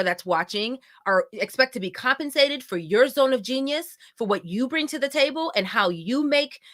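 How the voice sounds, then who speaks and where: Loud and animated, a woman with a high pitch speaks at a moderate pace with very wide pitch swings. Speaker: event host and company founder. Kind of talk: live event introduction. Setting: live virtual event stream.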